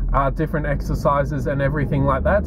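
A man at a fairly quick pace, dry with no echo, over loud background noise. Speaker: fitness vlogger. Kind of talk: casual vlog chat. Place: car. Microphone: phone near.

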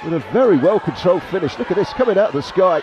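Crowd noise fills the background as a man speaks at a high pitch in an excited tone, with ordinary pitch variation. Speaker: football match commentator. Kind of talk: live sports commentary. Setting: stadium. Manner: animated; fast, excited delivery.

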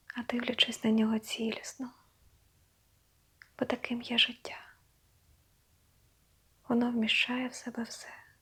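Against noticeable background noise, a woman speaks at a high pitch and a fairly slow pace in a monotone, flat intonation, with long, frequent pauses and big swings in loudness. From Ukraine. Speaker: meditation guide. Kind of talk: guided meditation. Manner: slow, soft-spoken.

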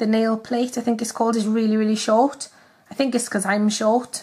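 The speaker has a Welsh accent. The background is quiet. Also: woman. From Wales. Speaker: nail art youtuber. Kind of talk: casual talk to camera. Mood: cheerful, chatty.

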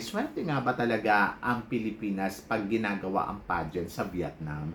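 A man's lively intonation stands out against noticeable background noise. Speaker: YouTube vlogger commenting on pageants. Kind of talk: casual vlog monologue. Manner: animated, excitable.

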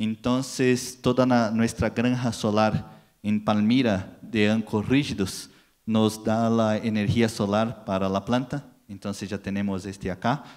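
A man with a Brazilian accent and a fairly low pitch at a fairly slow pace, over a quiet background. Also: fairly even intonation. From Brazil, São Paulo. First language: Portuguese (speaking Spanish). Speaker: packaging industry marketing manager; conference speaker. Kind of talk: conference talk. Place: hall. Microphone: handheld.

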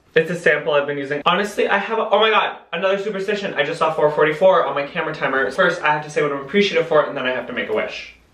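In a room with audible echo but a quiet background, a man speaks very fast with hardly any pauses, at a fairly high pitch and with ordinary pitch variation. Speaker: YouTuber / vlogger. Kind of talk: casual vlog monologue. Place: bathroom. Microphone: camera far.

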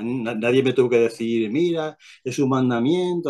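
Over a quiet background, a man with a dark, mellow tone speaks at a moderate pace and medium pitch, with ordinary pitch variation. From Spain, Albacete, Castilla-La Mancha; Castilla-La Mancha, Spain. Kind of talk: testimony. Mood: calm, reflective. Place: home room. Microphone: video call.

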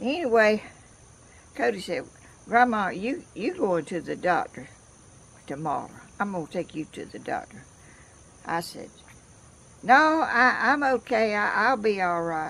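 With a Southern US accent, a woman speaks at a fairly high pitch and a fairly slow pace, her pitch swinging very widely, with long, frequent pauses. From US South, Georgia. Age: 80s+. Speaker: craft video maker. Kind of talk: casual chat. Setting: outdoors. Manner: animated; laughs often. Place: garden. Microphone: phone near.

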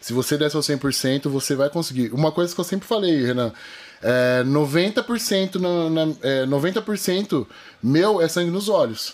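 Fairly slow, lively intonation from a man at a fairly high pitch. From interior of São Paulo state, Brazil. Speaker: jiu-jitsu athlete and fitness influencer; fitness influencer. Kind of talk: casual interview chat. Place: studio. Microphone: studio mic.

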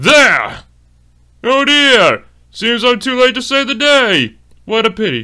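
In a put-on character voice, a man projects a raised voice at an extremely high pitch with fairly even intonation. He goes at a fairly slow pace with long, frequent pauses, on a very clean recording with a silent background. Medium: dub. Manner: haughty, disdainful.

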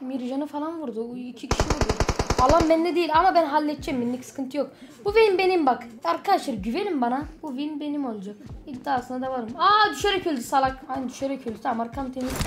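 With noticeable noise behind her, a woman talks very fast at a high pitch with lively intonation. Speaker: gaming youtuber. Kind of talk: casual gaming commentary. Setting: playing together at home. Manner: animated, joking.

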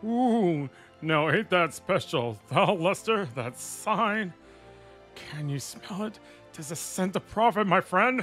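Over clear background music, a man does a high-pitched, put-on character voice with lively intonation at a fairly slow pace. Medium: role play.

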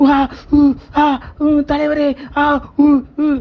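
In a put-on character voice, the speaker talks at a high pitch and a fairly quick pace with a monotone, flat intonation. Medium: comedy sketch. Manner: rhythmic grunting, comic.

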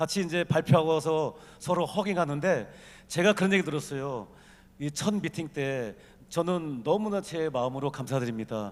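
Very cleanly recorded against a silent background, a man in a normal speaking voice talks at a moderate pace with lively intonation and a fairly high pitch. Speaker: business executive. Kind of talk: conference talk.

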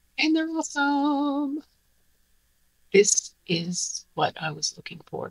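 Her voice is somewhat breathy. The woman speaks against a quiet background. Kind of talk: tutorial. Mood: pleased, upbeat. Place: workshop.

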